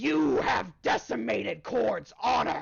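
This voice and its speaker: A raspy, put-on character voice at middle pitch moves at a fairly slow pace. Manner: angry.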